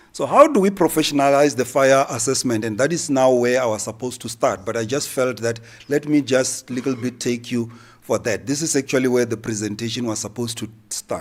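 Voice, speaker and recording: This man talks at a fairly quick pace in a medium pitch, with ordinary pitch variation. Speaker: accreditation official presenting at seminar. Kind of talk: conference presentation. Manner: fast.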